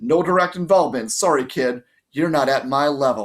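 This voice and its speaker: A man uses a put-on character voice with a fairly high pitch. He speaks at a moderate pace. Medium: read story. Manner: mocking, tough-talking.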